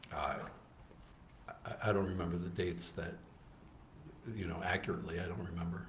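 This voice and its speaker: A man's very deep, low voice with vocal fry and fairly even intonation, fairly quick yet broken by long, frequent pauses, with audible room echo. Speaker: trial witness, undercover operative. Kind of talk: courtroom testimony. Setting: courtroom. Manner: halting.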